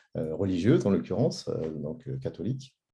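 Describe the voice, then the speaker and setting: A man's dark, mellow tone at a moderate pace. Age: 40s. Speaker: social entrepreneur. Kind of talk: presentation. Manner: hesitant, many fillers.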